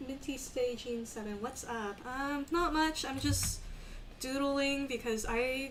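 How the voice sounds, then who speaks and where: A woman with a slight Texas accent talks at a fairly slow pace and fairly even intonation, with audible room echo and music in the background. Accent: slight Texas accent, only hints. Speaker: streamer drawing live. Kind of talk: casual live stream chat while drawing. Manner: hesitant, many fillers.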